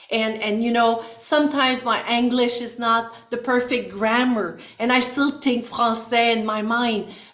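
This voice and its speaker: In a Quebec accent, a woman speaks fairly slowly at a fairly high pitch with hardly any pauses and monotone, flat intonation, with audible room echo. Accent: French Canadian accent in English. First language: French. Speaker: elected politician. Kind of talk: panel interview.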